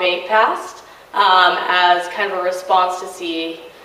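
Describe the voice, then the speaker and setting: In a room with audible echo and noticeable background noise, a woman speaks at a very slow pace with monotone, flat intonation. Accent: American. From Southern California, Riverside. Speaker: community organizer. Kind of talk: talk to a college audience. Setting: college event with audience and microphone. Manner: loud.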